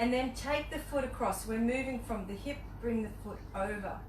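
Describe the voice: A woman speaks at a moderate pace with ordinary pitch variation. Her pitch is fairly high, and there is clear background noise.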